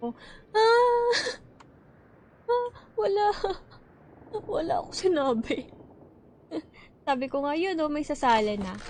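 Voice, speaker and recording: A woman speaks high and soft-spoken, with an animated tone and very wide pitch swings. Her pace is fairly slow, with long, frequent pauses. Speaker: gaming streamer. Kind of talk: live gaming stream chat. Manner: casual, animated.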